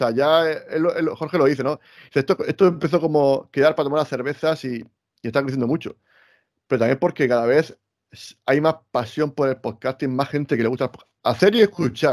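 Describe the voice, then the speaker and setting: In an ordinary speaking voice, a man talks at a fairly quick pace with a fairly high pitch and ordinary pitch variation. The recording is very clean, with a silent background and a dry, close sound without echo. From Spain, Murcia. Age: 40s. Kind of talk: casual chat.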